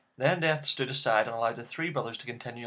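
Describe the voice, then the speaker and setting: Here a man speaks with a Northern Irish accent. His pitch moves in an ordinary way. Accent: Northern Irish (Belfast). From Northern Ireland, Belfast. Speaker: YouTuber. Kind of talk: reading aloud; casual chat.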